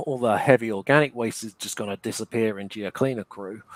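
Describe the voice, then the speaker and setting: A man's medium-pitched voice with ordinary pitch variation, dry and close with no echo, on a very clean recording with a silent background. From England. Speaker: reptile breeder. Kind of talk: livestream interview.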